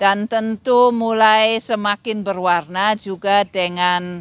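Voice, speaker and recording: A woman speaks with a German accent and ordinary pitch variation. The sound is dry and close with no echo, and the background is quiet. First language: German (speaking Indonesian). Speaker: literary critic and lecturer. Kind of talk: interview. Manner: hesitant, many fillers.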